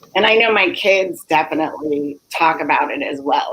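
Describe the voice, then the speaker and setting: Very slowly, a woman talks in a fairly low voice with an American accent. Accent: general American in public, Liberian at home. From US, Liberian-born mother. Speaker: nonprofit director and life coach. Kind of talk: interview.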